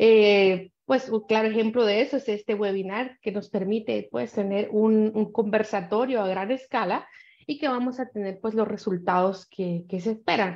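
A woman speaks at a fairly slow pace with hardly any pauses and fairly even intonation over a quiet background. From Guatemala. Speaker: panelist on cyber violence; panelist. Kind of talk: panel discussion. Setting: video call. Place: home room. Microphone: webcam.

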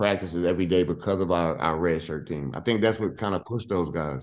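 With an American accent, a man speaks in a very deep, low voice with ordinary pitch variation. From US Northeast (Hempstead, Long Island, New York); New York. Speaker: former college basketball player. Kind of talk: casual interview. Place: home room. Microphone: video call.

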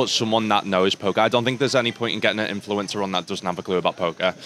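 There is light background noise as a man speaks. His pitch is fairly low, and the sound is dry with no echo. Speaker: podcast guest. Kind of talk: interview answer. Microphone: studio mic.

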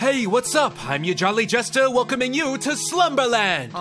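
A man performs a put-on character voice, sing-song and extremely high-pitched, at a moderate pace. Clear background noise is present. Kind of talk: comic sketch acting. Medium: comedy sketch. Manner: upbeat, sing-song rhyming, salesman patter.

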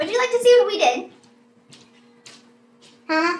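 A loud, female-sounding cartoonish character voice is shouting. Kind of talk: puppet skit vlog. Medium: puppet. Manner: loud, yelling.

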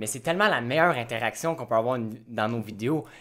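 Speaking with a Quebec accent, a man moves at a fairly quick pace with lively intonation. The recording is very clean, with a silent background. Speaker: YouTube host. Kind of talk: casual chat.

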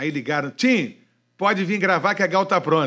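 Against a quiet background, a man with a high pitch and a bright, sharp tone speaks in an animated way at a moderate pace. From Rio de Janeiro, Niterói; Rio de Janeiro. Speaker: radio broadcaster; podcast guest, radio host. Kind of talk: casual chat. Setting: studio. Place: studio. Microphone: studio mic.

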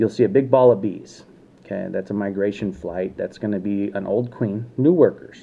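With ordinary pitch variation and a fairly low pitch, a man talks in a normal speaking voice. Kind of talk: casual vlog chat. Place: home room. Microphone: phone near.

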